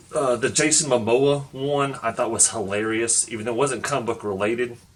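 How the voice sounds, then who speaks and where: Noticeable background noise runs under a man's medium-pitched voice. He talks at a fairly quick pace with fairly even intonation. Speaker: comic book YouTuber. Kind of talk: casual vlog commentary. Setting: home recording. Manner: quieter than usual.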